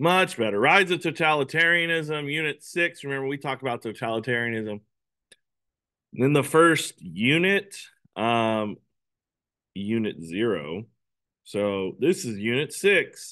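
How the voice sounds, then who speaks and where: Bright, sharp and upbeat, with very wide pitch swings, a fairly slow pace and long, frequent pauses against a quiet background. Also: man, medium pitch for a man. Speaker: history teacher. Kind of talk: lecture. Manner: casual, upbeat.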